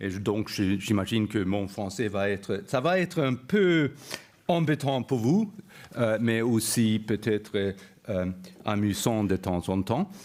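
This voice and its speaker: A man with a non-native accent and a fairly low voice speaks very slowly with lively intonation. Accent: non-native French, imperfect. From Sweden. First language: Swedish (speaking French). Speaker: university professor. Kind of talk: lecture. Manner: halting, many hesitations.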